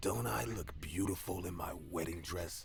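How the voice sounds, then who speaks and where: Clear background noise sits under a put-on character voice moving at a moderate pace. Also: man, very deep, low pitch for a man. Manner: scary.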